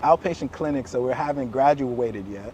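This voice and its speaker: Noticeable noise fills the background while a man's pitch moves in an ordinary way. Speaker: chiropractor. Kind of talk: casual storytelling conversation. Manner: stutters, hesitant speech with fillers.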